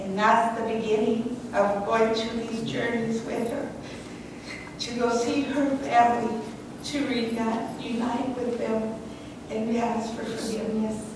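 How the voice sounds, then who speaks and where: Very slowly and with monotone, flat intonation, a woman speaks at a fairly high pitch. Strong room echo and noticeable background noise fill the recording. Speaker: caregiver. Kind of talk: eulogy. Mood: warm, earnest. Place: church.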